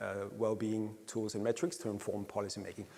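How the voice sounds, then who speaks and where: A man with a Danish accent. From Denmark. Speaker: happiness researcher. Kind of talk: conference presentation. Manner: hesitant with frequent fillers.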